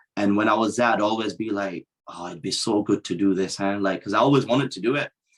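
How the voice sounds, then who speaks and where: At a fairly quick pace, a man with a British accent speaks in a fairly low voice with fairly even intonation. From Yorkshire, England (Dewsbury). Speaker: professional wrestler. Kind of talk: casual chat.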